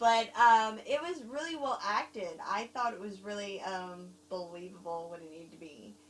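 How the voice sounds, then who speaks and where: Speaking at a moderate pace with hardly any pauses, a woman uses a medium pitch, lively intonation and big swings in loudness. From overseas, Germany and Korea. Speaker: film reviewer. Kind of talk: casual chat. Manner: halting.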